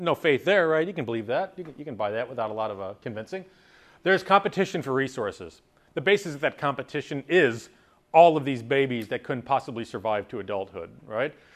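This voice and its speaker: A man talking at a very fast pace, with very wide pitch swings, big jumps in loudness and a quiet background. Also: medium pitch for a man. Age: 30s. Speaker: college biology lecturer. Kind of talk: lecture. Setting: classroom.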